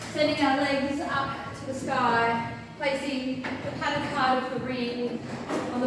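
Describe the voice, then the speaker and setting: A loud, high-pitched woman's voice with an Australian accent, fairly slow and fairly even in intonation, with audible room echo and noticeable background noise. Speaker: fitness instructor. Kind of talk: fitness class instruction. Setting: gym class with music. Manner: loud, projecting.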